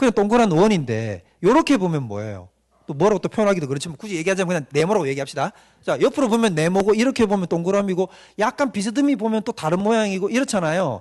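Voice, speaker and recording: Speaking with a slight Gyeongsang accent, a man talks at a very fast pace. His high pitch swings very widely. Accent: mild Gyeongsang. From Gyeongsang Province, South Korea. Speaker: pastor. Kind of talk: lecture. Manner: interactive, frequent rhetorical questions to audience.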